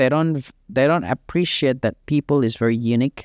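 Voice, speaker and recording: In a dry, close sound with no echo and a silent background on a very clean recording, a man speaks at a moderate pace and a fairly high pitch with ordinary pitch variation. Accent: Indonesian. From Indonesia, East Java (Surabaya). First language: Indonesian. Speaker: fitness coach. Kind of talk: casual chat.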